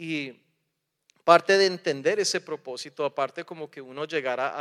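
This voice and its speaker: Using ordinary pitch variation, a man with a fairly high voice speaks at a moderate pace, and the sound is dry and close with no echo. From raised partly in the US, partly in Colombia. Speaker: preacher. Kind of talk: sermon.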